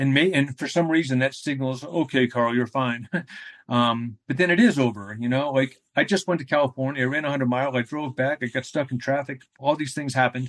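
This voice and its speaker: An unremarkable speaking voice with an American accent goes at a fairly quick pace with fairly even intonation, in a dry, close sound with no echo and a quiet background. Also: man, medium pitch for a man. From New England, US (New Hampshire). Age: 50s. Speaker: ultramarathon runner. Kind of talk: interview conversation. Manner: casual, rambling with fillers.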